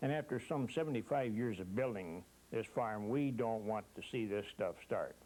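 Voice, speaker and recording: An American-accented man speaks at a medium pitch and moderate pace, with ordinary pitch variation. His tone is dark and mellow, and his loudness stays very even. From eastern Washington State. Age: 70s. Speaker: farmer. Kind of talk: interview.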